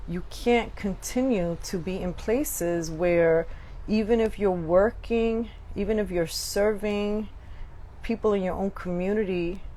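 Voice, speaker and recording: Very slow female speech, with echo from the room audible. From Brooklyn, New York (Puerto Rican). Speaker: podcast host. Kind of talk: live podcast monologue. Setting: live stream.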